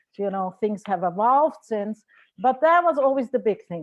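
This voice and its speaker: Against a quiet background, lively intonation carries an Austrian accent. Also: woman. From Austria, Vienna. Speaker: marriage and family therapist. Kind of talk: lecture.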